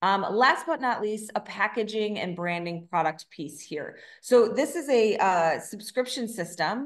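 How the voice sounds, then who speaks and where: A woman with an American accent talks at a moderate pace with ordinary pitch variation. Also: quiet background. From Chicago. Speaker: business consultant, co-founder; presenter. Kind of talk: webinar presentation. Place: home room. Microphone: webcam.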